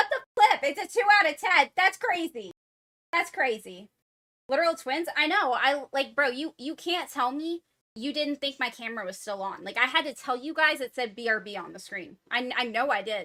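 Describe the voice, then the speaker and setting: In a raised, projected voice, a woman speaks at a high pitch with very wide pitch swings. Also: moderate pace, dry, close sound with no echo. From US, Florida. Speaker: gaming streamer. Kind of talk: livestream chat.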